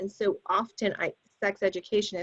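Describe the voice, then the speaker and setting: A woman speaks in a plain, everyday voice with ordinary pitch variation. The sound is dry and close, with no echo. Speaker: public health sex educator. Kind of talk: panel discussion.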